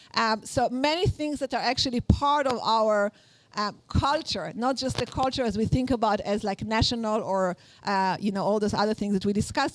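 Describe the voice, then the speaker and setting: In an Israeli accent, a woman speaks at a fairly quick pace with a fairly high pitch. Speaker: workshop instructor. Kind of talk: lecture. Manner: halting, many fillers.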